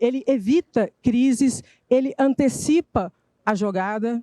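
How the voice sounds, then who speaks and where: On a very clean recording with a silent background, a woman speaks in a dark, mellow tone with a fairly high pitch. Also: dry, close sound with no echo. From Minas Gerais, Brazil. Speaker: political communication strategist. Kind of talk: conference talk. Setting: stage with audience. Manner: animated.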